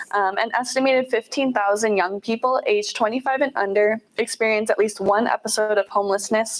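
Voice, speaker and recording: A woman speaks at a fairly quick pace in a fairly high voice. Her pitch varies in an ordinary way. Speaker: nonprofit volunteer and outreach manager. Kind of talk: guest presentation. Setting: meeting room with audience. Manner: fast; quiet at first.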